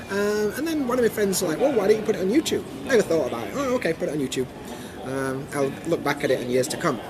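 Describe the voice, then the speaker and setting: Noticeable background noise sits under a man's voice. He talks at a very fast pace, his pitch swinging very widely. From Sheffield, Yorkshire, England. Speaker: YouTuber. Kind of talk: interview answer.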